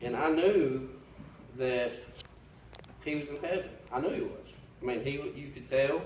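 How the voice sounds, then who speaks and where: A man with an American accent at a moderate pace, ordinary pitch variation, noticeable background noise and audible room echo. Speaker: Sunday school teacher. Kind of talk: testimony. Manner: loud; halting.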